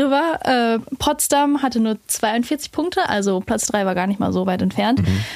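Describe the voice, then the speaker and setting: A woman with a fairly high pitch and an unremarkable speaking voice talks at a moderate pace with ordinary pitch variation. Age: 20s. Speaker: women's football social media creator. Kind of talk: casual chat.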